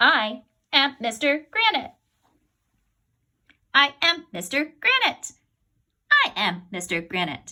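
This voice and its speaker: A woman's high-pitched put-on character voice at a fairly slow pace, with very wide pitch swings and long, frequent pauses. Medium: read story. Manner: formal, stiff.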